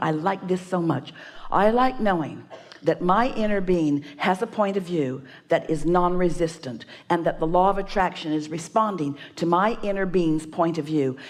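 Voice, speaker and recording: A woman with an ordinary speaking voice, fairly low in pitch, with ordinary pitch variation, very even loudness, and a moderate pace. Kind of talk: spiritual teaching / workshop talk.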